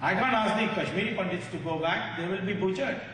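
A man speaks with a high pitch for a man. There is light background noise and audible room echo. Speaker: speaker. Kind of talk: public speech. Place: hall. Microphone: podium.

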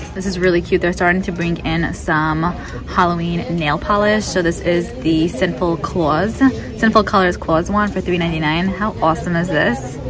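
A woman's fairly low voice at a moderate pace, with fairly even intonation and music in the background. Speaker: beauty shopping vlogger. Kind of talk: casual vlog chat. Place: shop. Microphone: phone near.

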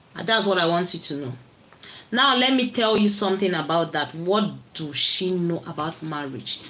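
A woman's bright, sharp, fairly low voice, with lively intonation at a moderate pace. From Nigeria. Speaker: livestream vlogger. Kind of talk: casual livestream chat. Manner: animated. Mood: annoyed, scolding. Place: home room. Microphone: phone near.

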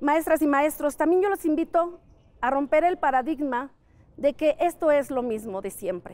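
At a moderate pace, a woman speaks with a high pitch and lively intonation. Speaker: teacher. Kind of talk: interview. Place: street. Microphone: lapel.

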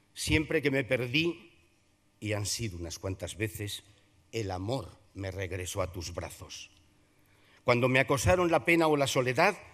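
A man speaks at a fairly slow pace against a quiet background, his pitch swinging very widely and his loudness rising and falling sharply. Long pauses come often. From Zamora, Spain; Spain. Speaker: Holy Week proclaimer and veteran radio broadcaster. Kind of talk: solemn poetic oration, Holy Week proclamation delivered to a packed theatre. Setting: theatre stage with audience. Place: hall. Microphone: podium.

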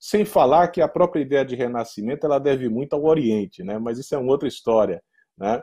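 With a quiet background, a man with a fairly high pitch and a dark, mellow tone speaks at a fairly quick pace with lively intonation. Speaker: law professor; law professor, speaker. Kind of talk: lecture. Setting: conference with interpreter. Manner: halting, many fillers. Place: home room. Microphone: earbuds.

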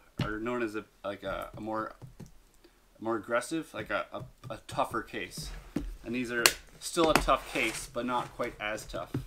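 A man speaks at a moderate pace. Loud background noise runs under his voice. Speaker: product reviewer. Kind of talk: casual unboxing commentary. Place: home room.

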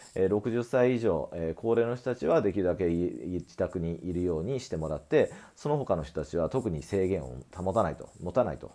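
With a dark, mellow tone and very deep, low pitch, a man talks at a fairly quick pace with lively intonation over a quiet background. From Japan. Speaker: acupuncture clinic owner, health commentator; medical commentator. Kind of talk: solo video commentary. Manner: frequent filler hesitations. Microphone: earbuds.

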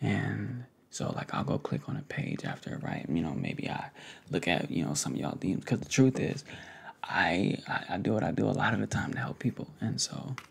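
Whispering from a man at a moderate pace. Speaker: content creator. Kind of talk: casual vlog chat. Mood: earnest, warm. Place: home room. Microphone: studio mic.

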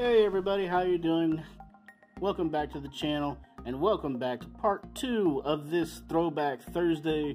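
Faint music sits in the background while the speech moves at a moderate pace. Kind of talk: casual vlog chat. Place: home room.

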